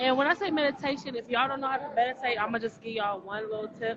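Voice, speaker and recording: A woman speaks in a fairly high voice. Background noise is noticeable. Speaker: podcast co-host. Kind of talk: casual chat.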